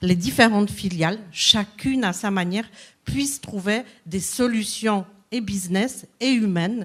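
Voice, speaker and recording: A woman speaks at a fairly slow pace with ordinary pitch variation and medium pitch. The recording is very clean, with a silent background. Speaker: business coach. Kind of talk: conference talk.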